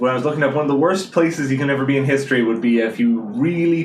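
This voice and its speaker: Speaking very fast with ordinary pitch variation, a man is heard over noticeable background noise. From Ireland, Dublin north side. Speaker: PhD student. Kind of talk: casual chat. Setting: studio.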